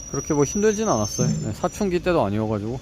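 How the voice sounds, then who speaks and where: Noticeable background noise surrounds a man's voice. His pitch swings very widely. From South Korea, Ulsan (Gyeongsang). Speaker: vlogger studying for exams. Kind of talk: casual vlog monologue. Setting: walking home. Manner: conversational, with fillers.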